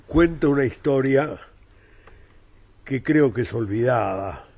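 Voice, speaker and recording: At a very slow pace, a man speaks in a somewhat breathy voice with ordinary pitch variation. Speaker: novelist. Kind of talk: interview.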